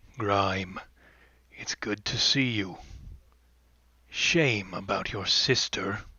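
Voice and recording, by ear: A man's put-on character voice, gravelly and raspy, fairly low in pitch, very slow, with long, frequent pauses.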